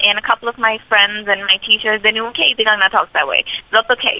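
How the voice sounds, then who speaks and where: With noticeable background noise behind her, a woman talks at a very fast pace in a fairly high pitch. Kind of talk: radio interview.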